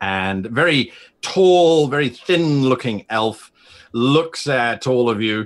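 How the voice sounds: A man speaks at a medium pitch. His pace is slow. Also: ordinary pitch variation.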